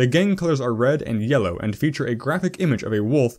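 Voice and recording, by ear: Lively intonation runs through the clip. The speaker is reading aloud in a natural voice.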